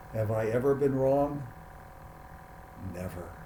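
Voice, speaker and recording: Noticeable background noise and audible room echo surround a man speaking at a fairly slow pace. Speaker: piano teacher and art commentator. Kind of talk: casual chat. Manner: slurred at times; halting, repeats words.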